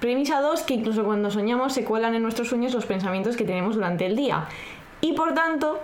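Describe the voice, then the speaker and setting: A woman speaks at a fairly high pitch. Audible room echo is present. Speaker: podcast co-host. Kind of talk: casual chat with read-out script passages. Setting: home recording, not a studio.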